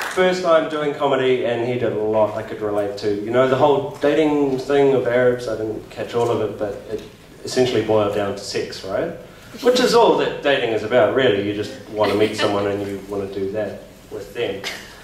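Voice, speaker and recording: A man with a New Zealand accent talks at a fairly quick pace, his pitch medium with ordinary variation. The room echo is audible, and background noise is noticeable. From South Africa. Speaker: comedy night MC. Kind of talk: stand-up. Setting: stage with audience.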